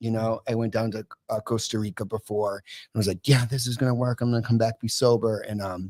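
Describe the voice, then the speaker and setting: Speaking with an American accent, a man talks fairly quickly at a medium pitch. His pitch varies in an ordinary way, and the sound is dry and close with no echo. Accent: East Coast accent, sometimes. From US East Coast, Massachusetts. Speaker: podcast guest in addiction recovery. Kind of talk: casual chat. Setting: live podcast studio.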